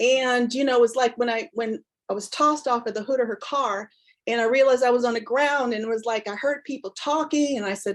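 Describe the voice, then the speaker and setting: In a normal speaking voice, a woman talks at a fairly quick pace with a fairly high pitch. The background is quiet. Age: 60s. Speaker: counselor and executive coach. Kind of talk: interview testimony.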